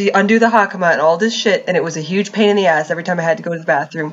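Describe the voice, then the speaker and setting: Here is a normal speaking voice: a woman with fairly low pitch and ordinary pitch variation. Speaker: podcast host. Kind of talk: casual chat. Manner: laughs often.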